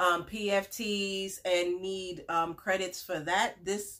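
A woman speaks slowly at a medium pitch. Her tone is fairly bright and her intonation fairly even.

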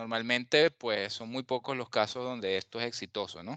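A man with a Venezuelan accent and a bright, sharp tone at a moderate pace, in a dry, close sound with no echo against a quiet background. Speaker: journalist. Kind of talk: casual chat.

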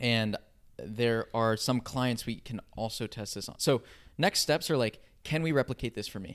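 In a plain, everyday voice, a man talks at a moderate pace and medium pitch with ordinary pitch variation and big swings in loudness. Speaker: co-host. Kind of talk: casual banter.

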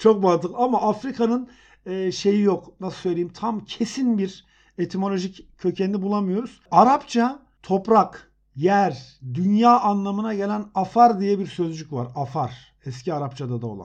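This man's voice sits high in pitch, with lively intonation at a fairly slow pace. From Elbistan, Kahramanmaraş, Turkey. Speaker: etymology podcast co-host. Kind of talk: casual educational chat.

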